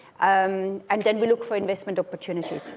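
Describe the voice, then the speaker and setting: A woman of medium pitch speaking at a moderate pace amid noticeable background noise. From Austria. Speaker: asset manager, conference panelist. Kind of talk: conference panel talk. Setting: conference stage, seated. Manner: hesitant, many fillers and repetitions.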